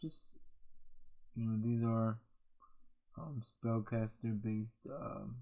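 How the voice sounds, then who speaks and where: A man speaks very slowly in a medium-pitched voice with a dark, mellow tone. His intonation is fairly even, broken by long, frequent pauses. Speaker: gaming youtuber. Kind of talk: casual tutorial. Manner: halting, many fillers.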